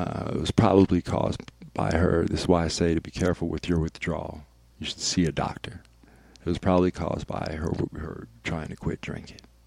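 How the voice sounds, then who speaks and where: Talking at a fairly quick pace, a man with an American accent has a very deep, low pitch. His intonation stays fairly even. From Vallejo, California. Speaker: radio DJ. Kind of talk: casual chat. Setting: studio.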